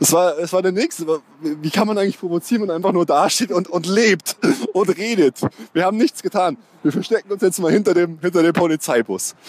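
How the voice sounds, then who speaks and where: A man's high-pitched voice at a fairly quick pace with ordinary pitch variation, in a dry, close sound with no echo. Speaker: football podcast host. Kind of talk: casual chat. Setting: stadium.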